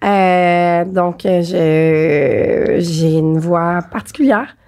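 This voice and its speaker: At a very slow pace, a woman speaks with a dark, mellow tone and ordinary pitch variation. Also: fairly low pitch for a woman. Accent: Quebec. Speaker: podcast host. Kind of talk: casual chat. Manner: talkative.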